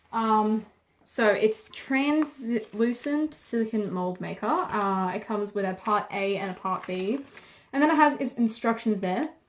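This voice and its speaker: A woman with a fairly high pitch and a plain, everyday voice speaks at a fairly slow pace with ordinary pitch variation. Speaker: beauty and crafts YouTuber. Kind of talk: product unboxing review. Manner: casual, filler-heavy.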